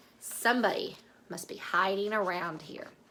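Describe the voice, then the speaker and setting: A female-sounding put-on character voice, raspy and middle-pitched, moves along at a moderate pace. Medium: read story.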